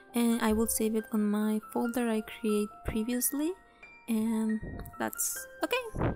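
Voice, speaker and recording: Music plays in the background while a woman with a fairly high pitch speaks. Her pace is very slow and her intonation fairly even. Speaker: digital artist. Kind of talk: software tutorial narration. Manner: casual, hesitant.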